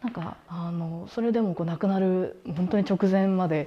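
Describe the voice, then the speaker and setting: A woman with a dark, mellow tone speaks with ordinary pitch variation. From Japan, Yamanashi; Japan. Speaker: contemporary artist. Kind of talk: interview. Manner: casual, hesitant with fillers. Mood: calm, thoughtful. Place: home room. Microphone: lapel.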